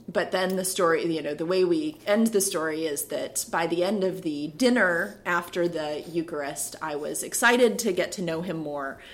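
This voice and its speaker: A woman with an American accent at a moderate pace, ordinary pitch variation, hardly any pauses, and noticeable background noise. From US Midwest (Minnesota and Ohio). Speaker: Episcopal priest. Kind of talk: casual interview chat.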